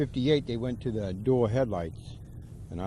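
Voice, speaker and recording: A man talks at a moderate pace in a dark, mellow tone with vocal fry and lively intonation. The room echo is audible. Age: 60s. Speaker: car owner. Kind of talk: casual interview.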